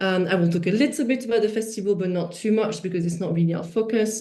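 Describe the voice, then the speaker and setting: A woman's voice in a strong French accent, with ordinary pitch variation, noticeable background noise and audible room echo. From France. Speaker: festival director, workshop speaker. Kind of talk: online workshop presentation. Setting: video call. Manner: hesitant, many fillers.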